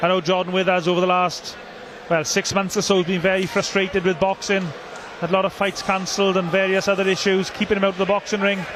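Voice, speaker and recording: Very fast speech in a Welsh accent, very even in loudness, over noticeable background noise. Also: man, high pitch for a man. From South Wales. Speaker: boxing commentator. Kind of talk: live commentary. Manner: animated.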